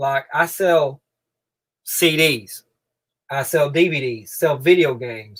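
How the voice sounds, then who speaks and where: Against a very clean recording with a silent background, a man with a strong eastern Kentucky accent talks at a very slow pace with ordinary pitch variation and long, frequent pauses. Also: fairly high pitch for a man. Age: 30s. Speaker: reseller, channel owner. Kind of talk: live stream chat. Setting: in a shed. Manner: casual, repetitive.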